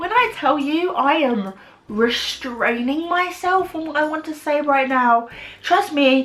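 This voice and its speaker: A loud, animated woman with a British accent, high in pitch, lively in intonation and fairly slow, over noticeable background noise. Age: 20s. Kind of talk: vlog monologue. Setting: alone in her room.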